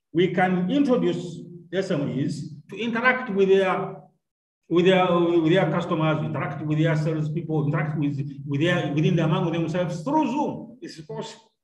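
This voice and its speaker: A man speaks at a high pitch. Room echo is audible. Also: ordinary pitch variation, moderate pace. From Uganda. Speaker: university lecturer. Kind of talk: online lecture. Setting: video call. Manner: formal. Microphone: video call.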